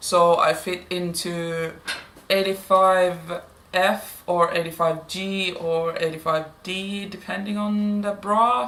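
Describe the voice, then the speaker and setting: A woman speaks very slowly at a medium pitch, with ordinary pitch variation and a non-native accent. Her tone is bright and sharp, and the room echo is audible. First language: Finnish. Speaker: plus-size fashion vlogger. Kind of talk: haul video, casual talk to camera. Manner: hesitant, with fillers.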